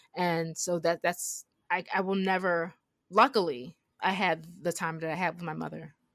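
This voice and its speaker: A woman with a plain, everyday voice speaks at a moderate pace, fairly low in pitch with fairly even intonation. The recording is very clean, the background silent. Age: 30s. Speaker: film podcast co-host. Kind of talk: casual chat.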